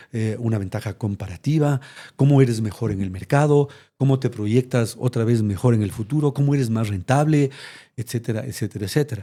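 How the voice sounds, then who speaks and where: A dark, mellow, somewhat breathy voice at a fairly quick pace with ordinary pitch variation, on a very clean recording with a silent background. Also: man, medium pitch for a man. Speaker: retired corporate executive. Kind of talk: interview conversation. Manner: fast.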